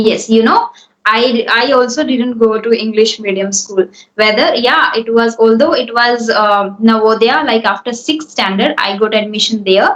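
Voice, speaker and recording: A woman speaks with an Indian accent. Her pace is moderate. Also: fairly high pitch for a woman, ordinary pitch variation. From India, Hindi-speaking. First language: Hindi. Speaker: English speaking coach. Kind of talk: spoken English coaching session.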